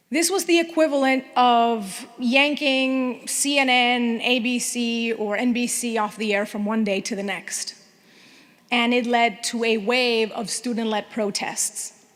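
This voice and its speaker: Against noticeable background noise, a woman with a Spanish accent speaks at a fairly slow pace, her high pitch showing ordinary variation. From Venezuela. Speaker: TV news anchor. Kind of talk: award acceptance speech. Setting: luncheon audience in a room.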